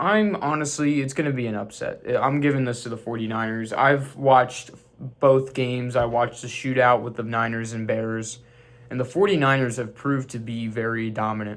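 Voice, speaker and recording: A man at medium pitch, with noticeable background noise. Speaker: sports YouTuber. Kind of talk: casual sports predictions monologue. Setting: home room with sports memorabilia. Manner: stuttering, halting; casual, conversational.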